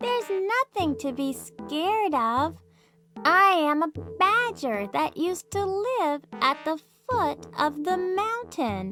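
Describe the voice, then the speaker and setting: The speaker uses a put-on character voice at a fairly slow pace. Faint music plays in the background. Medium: read story. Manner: earnest, gentle.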